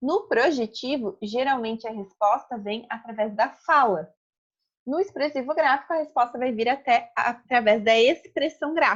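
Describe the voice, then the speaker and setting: Speaking at a fairly slow pace, a woman uses a high pitch. Her intonation is lively. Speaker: psychology lecturer. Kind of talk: lecture. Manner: slow, deliberate.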